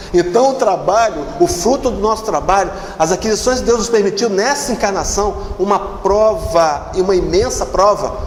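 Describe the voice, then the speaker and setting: Noticeable background noise and audible room echo surround a man speaking fairly slowly in a high pitch. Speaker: spiritist lecturer. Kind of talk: religious lecture. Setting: spiritist center hall with audience.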